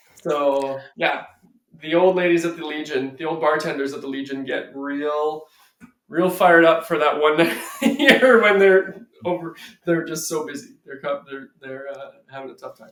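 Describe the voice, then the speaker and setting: Using a plain, everyday voice with a Canadian accent, a man speaks at a moderate pace and fairly high pitch, with ordinary pitch variation and big swings in loudness. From Canada, small-town Ontario. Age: 30s. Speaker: entrepreneur, vinyl storage founder. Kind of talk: podcast interview, casual chat.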